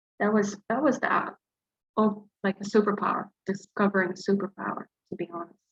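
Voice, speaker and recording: A woman with a somewhat breathy voice speaks at a fairly quick pace with fairly even intonation. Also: medium pitch for a woman, dry, close sound with no echo. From Dubai, Gulf region. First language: Arabic. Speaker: flash fiction writer and teacher. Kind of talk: interview. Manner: hesitant, many fillers.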